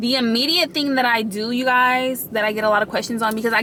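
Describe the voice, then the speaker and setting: Over noticeable background noise, a woman with a fairly high voice talks at a very fast pace with ordinary pitch variation. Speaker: lifestyle vlogger. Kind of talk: casual vlog tutorial. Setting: in a car.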